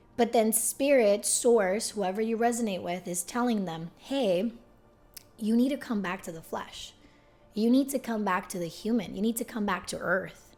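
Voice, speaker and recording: Music in the background behind a moderately paced female voice, fairly high in pitch, with ordinary pitch variation. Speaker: spiritual YouTuber. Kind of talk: casual vlog talk. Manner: animated.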